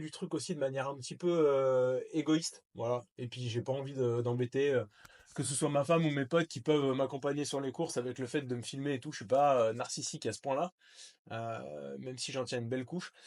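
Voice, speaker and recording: A man talks at a fairly quick pace in a medium pitch, keeping his intonation fairly even. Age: 30s. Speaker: trail runner. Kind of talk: casual talk to camera. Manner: casual, hesitant.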